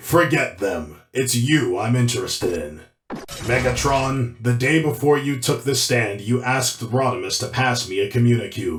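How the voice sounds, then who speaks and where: A man puts on a cartoonish character voice. His pitch sits at a medium level. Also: moderate pace. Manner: firm, authoritative.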